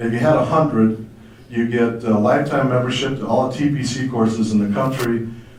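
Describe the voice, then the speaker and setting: A man at a medium pitch, talking fairly quickly, with audible room echo and noticeable background noise. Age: 60s. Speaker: former golf pro. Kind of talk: testimony.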